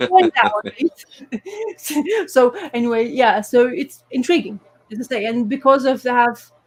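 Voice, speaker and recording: With a non-native accent, a woman speaks in a high pitch with lively intonation. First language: not English. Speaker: comics podcast co-host. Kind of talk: casual chat. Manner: halting.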